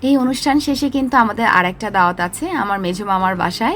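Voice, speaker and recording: There is a woman speaking over noticeable background noise. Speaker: vlogger. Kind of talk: vlog narration.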